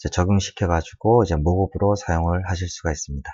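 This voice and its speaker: The speech has fairly even intonation and a moderate pace. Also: man. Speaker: design tutorial maker. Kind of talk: tutorial. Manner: halting, many fillers.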